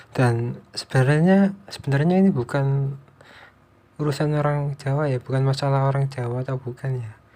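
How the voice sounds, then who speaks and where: Somewhat breathy and dark, mellow in tone, a man speaks at a moderate pace with a fairly high pitch and fairly even intonation. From East Java, Indonesia. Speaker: vlogger. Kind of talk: unscripted monologue. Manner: halting; casual.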